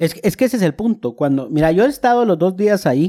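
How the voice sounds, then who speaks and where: A man's dark, mellow voice moves with lively intonation and sounds dry and close, without echo. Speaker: podcast co-host. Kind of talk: casual chat.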